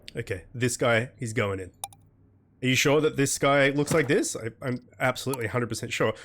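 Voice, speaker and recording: The man's pitch sits in the medium range. Behind him, music plays. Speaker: gaming youtuber. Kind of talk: gameplay commentary. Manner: fast reading of game text.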